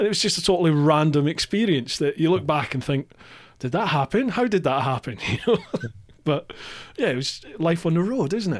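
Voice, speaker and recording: A man with a Scottish accent talks at a fairly quick pace, his fairly high pitch carrying lively intonation. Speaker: podcast host. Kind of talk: casual chat.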